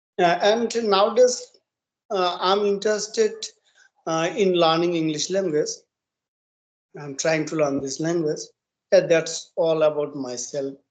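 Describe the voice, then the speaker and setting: With a Bengali accent, a high-pitched man speaks at a fairly slow pace, with long, frequent pauses. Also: ordinary pitch variation. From eastern India, West Bengal. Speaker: English learner. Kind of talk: casual conversation practice. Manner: halting, hesitant.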